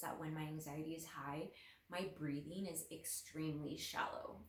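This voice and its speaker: A woman speaks in a very deep, low pitch with a shaky voice. Audible room echo surrounds her. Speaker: lifestyle vlogger. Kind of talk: casual personal talk to camera. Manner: halting, with fillers.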